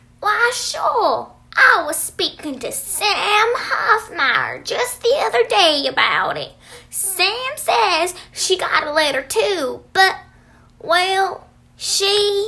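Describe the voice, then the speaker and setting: A woman puts on a character voice at an extremely high pitch. She speaks at a very slow pace, with very wide pitch swings. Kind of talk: rural folksy dialect. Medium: stage play. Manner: folksy, homespun.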